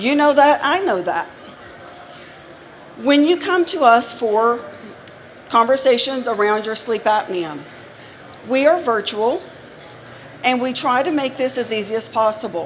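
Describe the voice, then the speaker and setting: A woman speaks at a high pitch and a fairly slow pace, with long, frequent pauses. Noticeable background noise runs underneath. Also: lively intonation. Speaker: healthcare company presenter. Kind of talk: trade show seminar talk. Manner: animated.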